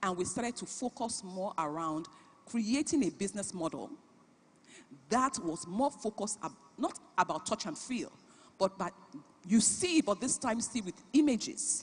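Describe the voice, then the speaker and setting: With a Nigerian accent, a woman speaks at a moderate pace in a fairly high pitch, her voice swinging very widely, broken by long, frequent pauses. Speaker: business founder and CEO, conference speaker. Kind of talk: keynote talk.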